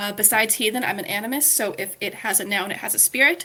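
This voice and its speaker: Here a woman speaks in an ordinary speaking voice. Her pace is fairly quick. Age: 20s. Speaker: podcast co-host. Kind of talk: casual self-introduction.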